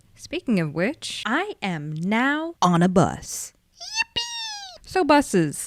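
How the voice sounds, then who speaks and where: The speaker is soft-spoken and talks at a very slow pace. The sound is dry and close, with no echo. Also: woman. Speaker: vtuber. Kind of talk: storytime.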